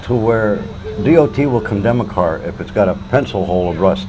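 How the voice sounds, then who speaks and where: A man with an American accent and a fairly low pitch speaks in very wide pitch swings. Audible room echo and noticeable background noise are present. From Detroit, Michigan. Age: 60s. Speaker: homeless man. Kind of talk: interview.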